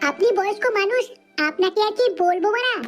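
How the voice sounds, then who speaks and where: A woman puts on a squeaky, cartoonish character voice at an extremely high pitch. She moves at a fairly quick pace with faint music in the background. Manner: crude, cheeky.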